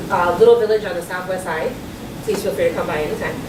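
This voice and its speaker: A woman with a fairly high pitch speaks amid noticeable background noise and audible room echo. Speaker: community organization director. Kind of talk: talk to an audience. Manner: loud.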